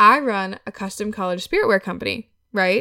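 In an American accent, a woman is heard in a very clean recording against a silent background, the sound dry and close with no echo. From Wisconsin. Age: 20s. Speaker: podcast host and clothing entrepreneur. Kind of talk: casual solo monologue.

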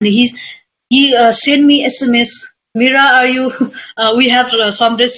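Speaking with a Nepali accent, a woman has a high pitch and ordinary pitch variation. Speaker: trail runner. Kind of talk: interview. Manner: halting.

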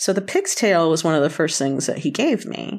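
With an American accent, a woman speaks in an unremarkable speaking voice at a fairly low pitch and a moderate pace, on a very clean recording with a silent background. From US South, North Carolina. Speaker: chef. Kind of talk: casual chat.

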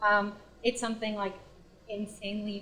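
Against noticeable background noise, a woman with a Spanish accent speaks fairly slowly in a fairly high voice. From US, Washington DC and Pennsylvania. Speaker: guest, former grad school roommate. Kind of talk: casual chat.

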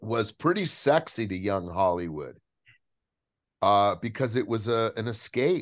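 Fairly slow, animated speech from a man over a quiet background. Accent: American. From Southern California. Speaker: actor. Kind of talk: casual interview chat.

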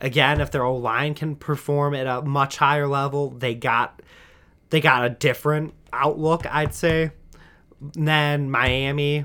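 A man with an American accent, fairly high pitch, bright and sharp tone, flat monotone intonation and fairly slow pace, on a very clean recording with a silent background. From Michigan, US Midwest. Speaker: sports podcast host. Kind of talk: solo sports commentary podcast. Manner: halting, many repeated words.

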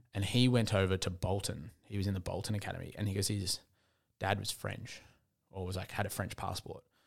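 This man speaks fairly quickly in an Australian accent. His fairly low voice stays flat and monotone. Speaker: podcast co-host. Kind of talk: casual chat. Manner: subdued, lower energy.

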